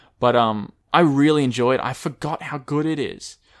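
With an Australian accent, a man talks with ordinary pitch variation in a very clean recording over a silent background. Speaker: podcast host. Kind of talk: casual chat.

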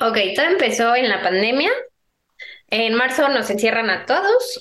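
Against audible room echo, a woman speaks very slowly at a fairly high pitch with lively intonation. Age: 20s. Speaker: entrepreneur. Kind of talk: interview conversation.

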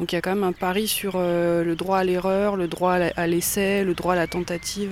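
With a medium pitch, a woman talks in a monotone, flat intonation. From Langres, Haute-Marne, France. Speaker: arts venue organizer. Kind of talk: interview.

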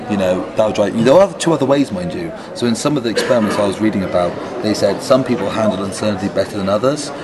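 Noticeable background noise is present. The words come out very fast. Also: man. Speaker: conference speaker and agile practitioner. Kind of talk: casual interview. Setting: conference venue.

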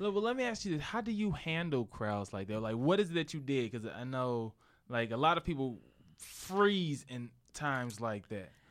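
A man speaks with an American accent at a medium pitch. His pitch swings very widely at a moderate pace. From St. Louis, US Midwest. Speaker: comedian and co-host. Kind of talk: casual chat.

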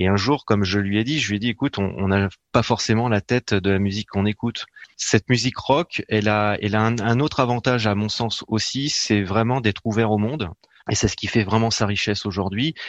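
Against a quiet background, a man speaks at a fairly quick pace with a fairly low pitch and ordinary pitch variation, in a dry, close sound with no echo. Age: 40s. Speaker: author and marketing specialist. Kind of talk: radio interview. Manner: halting, many hesitations.

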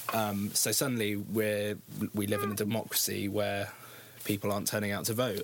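A man with a British accent, fairly low pitch, monotone, flat intonation and a fairly quick pace. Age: 20s. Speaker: youth campaign group founder. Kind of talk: interview. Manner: hesitant, many ums.

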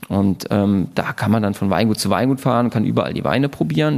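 A normal speaking voice from a man, fairly low in pitch, fairly quick in pace, with ordinary pitch variation. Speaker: winemaker. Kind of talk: casual interview chat. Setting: at a table in the winery.

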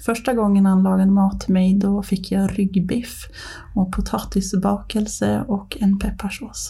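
A woman's voice with monotone, flat intonation and very even loudness. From Ånge, Medelpad, northern Sweden. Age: 30s. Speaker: podcast guest, mother. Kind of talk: casual interview, personal story.

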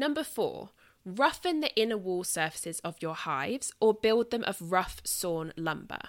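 A woman with a southern English accent speaks at medium pitch and a moderate pace. Her pitch swings very widely, on a very clean recording with a silent background. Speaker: podcast host. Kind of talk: podcast monologue, book discussion.

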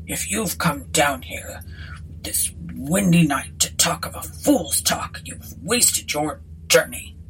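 In a gruff, put-on character voice, a woman speaks at a fairly slow pace over clear background noise. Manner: gruff, touchy.

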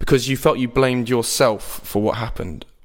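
A man with an unremarkable speaking voice talks at medium pitch and a moderate pace with ordinary pitch variation. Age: 20s. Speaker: podcast host. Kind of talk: interview.

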